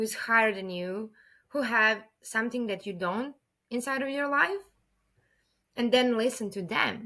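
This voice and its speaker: A woman's fairly high, bright, sharp voice in a Serbian accent, at a moderate pace with ordinary pitch variation and long, frequent pauses, on a very clean recording with a silent background. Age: 30s. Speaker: podcast guest. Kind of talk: interview conversation.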